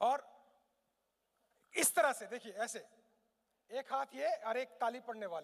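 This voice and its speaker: The man's voice sits at an extremely high pitch, with ordinary pitch variation. His loudness swings widely, and he leaves long, frequent pauses. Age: 50s. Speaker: motivational speaker. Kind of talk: motivational seminar talk. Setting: stage with live audience. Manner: animated.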